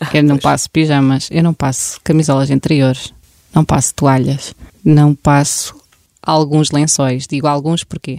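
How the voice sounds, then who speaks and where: In a dark, mellow tone with monotone, flat intonation, the voice moves at a fairly slow pace with a dry, close sound and no echo. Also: woman, very deep, low pitch for a woman. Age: 30s. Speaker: home-care content creator. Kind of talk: casual interview with practical tips.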